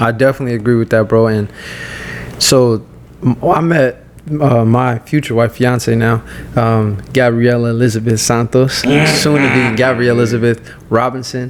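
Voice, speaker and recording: Over noticeable background noise, a man speaks at a moderate pace in a medium pitch, his loudness very even throughout. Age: 20s. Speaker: fitness coach. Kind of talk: casual chat. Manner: animated.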